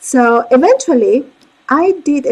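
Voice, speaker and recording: A woman speaks with a Spanish accent. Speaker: court interpreter and interpreter coach. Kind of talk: career talk with slides.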